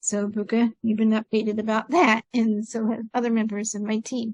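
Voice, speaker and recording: In a dry, close sound with no echo, a woman speaks in a somewhat breathy, fairly high voice with monotone, flat intonation. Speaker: podcast host. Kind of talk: casual chat. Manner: deliberately slowed pace.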